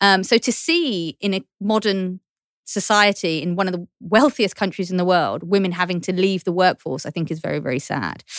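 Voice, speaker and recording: A woman in a Cockney accent speaks at a medium pitch with ordinary pitch variation on a very clean recording with a silent background. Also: moderate pace, dry, close sound with no echo. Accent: London Cockney English. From East London. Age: 30s. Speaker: journalist and podcast host. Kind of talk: casual chat.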